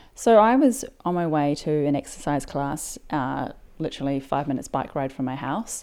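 On a very clean recording with a silent background, a woman with a New Zealand accent speaks at a moderate pace, her very deep, low pitch carried by lively intonation. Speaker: podcast host. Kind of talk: scripted narration.

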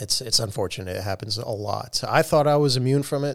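Talking at a moderate speed, a man with an unremarkable speaking voice shows ordinary pitch variation. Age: 40s. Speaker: airline pilot. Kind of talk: casual chat. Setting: studio.

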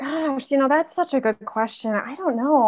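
A woman with a plain, everyday voice speaks with ordinary pitch variation. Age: 30s. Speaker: film photographer. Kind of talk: casual interview.

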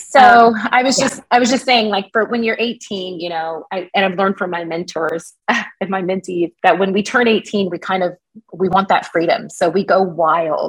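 Somewhat breathy, a woman speaks at a moderate pace and a medium pitch, leaving hardly any pauses. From Kansas (Wichita). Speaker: life coach and nonprofit founder. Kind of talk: interview conversation.

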